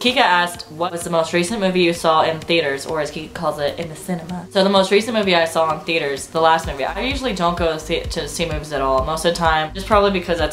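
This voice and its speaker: A fairly low-pitched woman at a very fast pace, with fairly even intonation and noticeable background noise. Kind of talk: casual talk to camera. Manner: chatty, informal.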